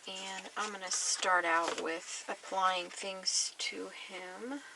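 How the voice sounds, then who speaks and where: The speaker mumbles at a very slow pace with fairly even intonation and big swings in loudness, over noticeable background noise. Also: woman, medium pitch for a woman. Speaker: mixed media artist. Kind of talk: tutorial. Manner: mumbling; casual, thinking aloud.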